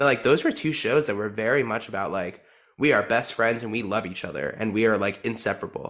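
A man's fairly quick speech in an American accent, bright and sharp in tone with ordinary pitch variation, in a very clean recording with a silent background. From New Jersey. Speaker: returning podcast guest, musical theater fan. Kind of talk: casual chat.

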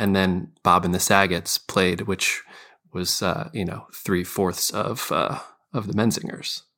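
At a fairly slow pace, a man with a fairly low pitch speaks in a bright, sharp tone on a very clean recording with a silent background. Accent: American. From Scranton, Pennsylvania. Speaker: musician. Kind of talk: casual chat.

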